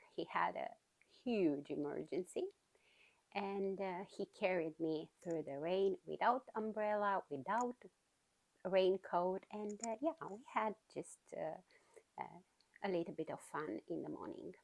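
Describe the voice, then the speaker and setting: A woman speaks in a Romanian accent at a medium pitch and fairly slow pace, with lively intonation. She takes long, frequent pauses, and the sound is dry and close with no echo. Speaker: knitting podcaster. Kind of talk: casual chat. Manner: hesitant, many fillers.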